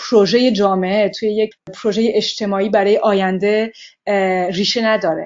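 A woman's fairly high-pitched voice at a moderate pace, a normal speaking voice. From France (Paris), raised from age 6. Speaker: anthropologist and researcher. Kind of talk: interview.

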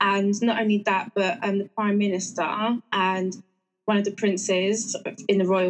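In an English accent, a woman speaks at a fairly slow pace with monotone, flat intonation. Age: 30s. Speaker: natural health practitioner. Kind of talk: interview.

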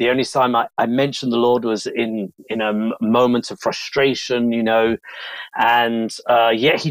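At a fairly slow pace and medium pitch, a man speaks with fairly even intonation in a very clean, dry, close recording with a silent background and no echo. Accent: London. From southeast London, England. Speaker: evangelist and missionary. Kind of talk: interview testimony.

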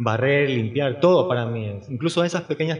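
A man has an unremarkable speaking voice. He keeps a moderate pace and ordinary pitch variation. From Ecuador, Guayaquil. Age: 50s. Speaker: painter. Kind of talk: interview.

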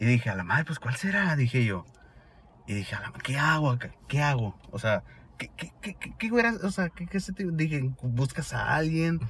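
A man with a Sonoran accent, fairly high in pitch, with very wide pitch swings, big swings in loudness, a moderate pace and noticeable background noise. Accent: Sonoran Mexican. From Sonora, Mexico. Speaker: exchange student. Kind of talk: casual chat. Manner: casual slangy speech.

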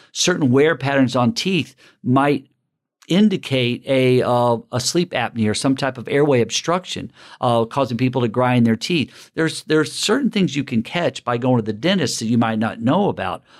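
Here a man with an American accent talks at a moderate pace and a medium pitch, his intonation lively. The recording is very clean, with a silent background. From US South, Alabama. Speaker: dentist. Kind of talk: interview. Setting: dental office.

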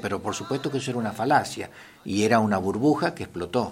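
A man talks at a fairly quick pace. Background noise can be clearly heard. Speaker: historian and history teacher. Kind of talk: radio interview.

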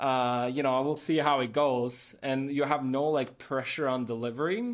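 A medium-pitched male voice with a Norwegian accent, on a very clean recording with a silent background. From Norway. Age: 30s. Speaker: photographer. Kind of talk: casual interview chat.

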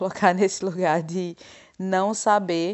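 Speaking at a fairly slow pace, a woman with an unremarkable speaking voice keeps her medium pitch at fairly even intonation. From Brazil, Pernambuco. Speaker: French teacher. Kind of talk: interview testimony.

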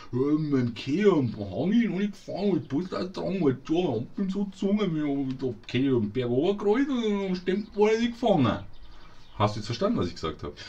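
This man has a fairly high pitch and a dark, mellow tone. He talks at a moderate pace with very wide pitch swings. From Munich, Bavaria. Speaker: podcast co-host. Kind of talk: casual chat. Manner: animated.

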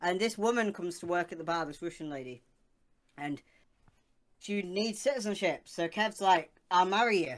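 Her intonation lively, a woman speaks at a moderate pace with big swings in loudness and long, frequent pauses. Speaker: co-host. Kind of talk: casual chat. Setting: video call, live stream.

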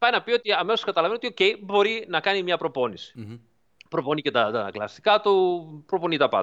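High-pitched for a man, this male voice swings very widely in pitch. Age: 40s. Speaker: driving simulator developer. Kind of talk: interview. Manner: halting.

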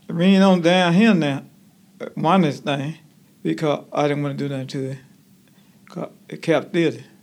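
The speech moves at a moderate pace with ordinary pitch variation, big swings in loudness, and long, frequent pauses. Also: man, fairly high pitch for a man. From Alabama, US South. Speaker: retiree, senior center member. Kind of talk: interview.

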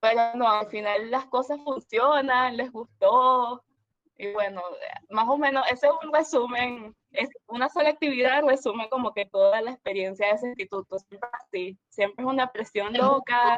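The woman's pitch is high. She speaks at a moderate pace. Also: ordinary pitch variation. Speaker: illustration student. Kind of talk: casual chat.

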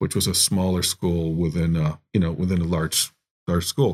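A man speaks in a very deep, low voice at a very fast pace. The recording is very clean, with a silent background. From US Midwest, Chicago area (Evanston). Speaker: art professor. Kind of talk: casual interview. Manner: halting, many fillers.

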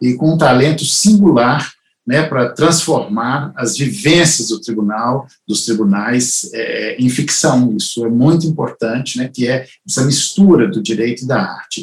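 A man talks fairly slowly, his voice somewhat breathy and his pitch varying in an ordinary way. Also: medium pitch for a man. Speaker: family lawyer and show host. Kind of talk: interview conversation. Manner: halting.

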